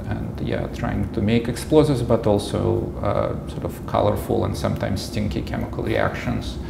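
A man with a Russian accent speaks at a moderate pace. Noticeable background noise can be heard. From Russia, Moscow. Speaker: immunologist, professor; professor. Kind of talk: interview. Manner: halting, many fillers. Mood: calm, reflective. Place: office. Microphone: lapel.

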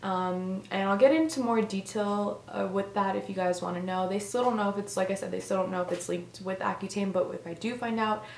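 A woman talks with hardly any pauses and ordinary pitch variation. Light background noise and audible room echo are present. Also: fairly quick pace. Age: young. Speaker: vlogger. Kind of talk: casual talk to camera. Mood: earnest, slightly concerned. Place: home room. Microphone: camera far.

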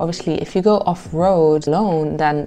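Over music in the background, a woman talks at a very deep, low pitch. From Morocco. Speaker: travel vlogger. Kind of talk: travel vlog monologue. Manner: animated. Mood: warm, upbeat. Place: home room. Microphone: lapel.

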